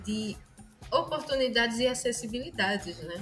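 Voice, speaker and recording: Lively intonation from a woman at a fairly slow pace, with music in the background. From Pernambuco, Brazil. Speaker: musician and music teacher. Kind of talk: interview answer.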